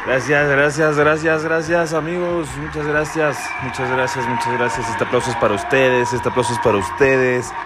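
With hardly any pauses, a man of fairly high pitch talks at a moderate pace with ordinary pitch variation, amid noticeable background noise and audible room echo. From Mexico, State of Mexico. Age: 20s. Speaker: podcast host. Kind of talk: casual monologue. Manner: animated.

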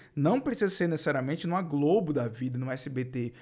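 Over a silent background in a very clean recording, a man talks at a fairly quick pace with lively intonation. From Northeast Brazil. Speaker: podcast host, digital marketing coach. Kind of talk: solo podcast monologue. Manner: casual, energetic.

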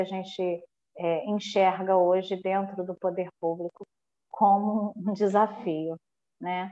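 At a fairly slow pace, a woman of medium pitch speaks with monotone, flat intonation and a dark, mellow tone, the sound dry and close with no echo. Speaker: municipal culture official. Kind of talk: podcast interview. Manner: halting with many fillers.

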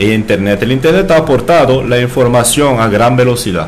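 Audible room echo and noticeable background noise fill the clip. A man speaks at medium pitch and a moderate pace with ordinary pitch variation. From France. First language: French (speaking Spanish). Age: 30s. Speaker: bartender. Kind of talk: casual chat.

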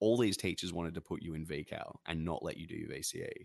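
Here is a man with an Australian accent. The sound is dry and close, with no echo. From Australia, NSW/Victoria border. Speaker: streamer and musician. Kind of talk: casual chat.

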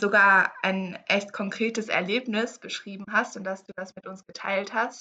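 A woman at a medium pitch and fairly slow pace, hardly any pauses, with big swings in loudness. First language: English (speaking German). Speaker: podcast co-host. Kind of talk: casual chat.

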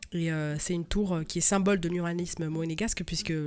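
Music plays in the background as a woman speaks at a moderate pace. Her pitch is fairly low, and her intonation fairly even. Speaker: podcast co-host. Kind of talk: casual chat.

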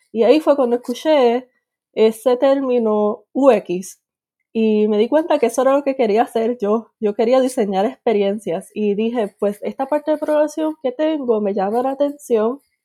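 With a dark, mellow tone and a high pitch, a woman speaks at a moderate pace with ordinary pitch variation, the sound dry and close with no echo. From Puerto Rico. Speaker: UX researcher. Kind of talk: interview.

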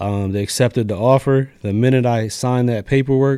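With an American accent, a man talks at a fairly quick pace in a dark, mellow tone and fairly even intonation, on a very clean recording with a silent background. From Lancaster, Pennsylvania. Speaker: barber and barbershop owner. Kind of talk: casual interview.

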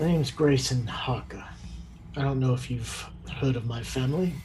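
A put-on character voice at a moderate pace over clear background noise. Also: man, medium pitch for a man. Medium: actual play. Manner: self-assured, dry.

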